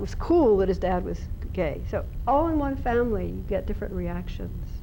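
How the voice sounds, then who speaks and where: A woman is speaking. There is audible echo in the room. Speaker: researcher and seminar speaker. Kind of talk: seminar talk. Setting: seminar room with audience. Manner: fast.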